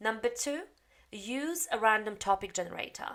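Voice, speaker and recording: A woman speaks with a Polish accent. Her intonation is lively. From Poland. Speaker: English teacher. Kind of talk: tutorial.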